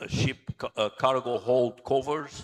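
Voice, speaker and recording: A man with a Portuguese accent. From Angola. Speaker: naval architect and engineer. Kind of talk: conference talk.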